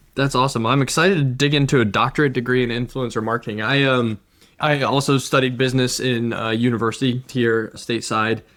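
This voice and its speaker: A man's enthusiastic, very fast speech at a medium pitch, in a very clean recording with a silent background. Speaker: podcast host. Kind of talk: interview.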